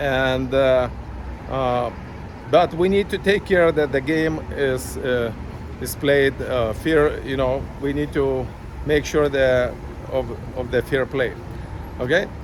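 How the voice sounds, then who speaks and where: The speech is very slow, with long, frequent pauses and noticeable background noise. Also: man, medium pitch for a man, ordinary pitch variation. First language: not English. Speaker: chess parent vlogger. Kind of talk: casual vlog monologue. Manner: halting, many fillers.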